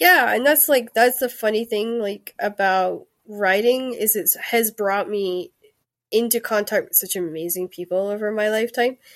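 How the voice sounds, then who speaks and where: Speech comes at a moderate pace with ordinary pitch variation. The recording is very clean, with a silent background and a dry, close sound with no echo. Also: woman. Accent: Scottish. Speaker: author. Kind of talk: casual chat. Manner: halting.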